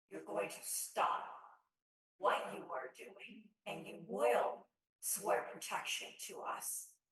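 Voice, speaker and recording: In a put-on character voice, a man speaks very slowly at a high pitch, with slight echo. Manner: commanding.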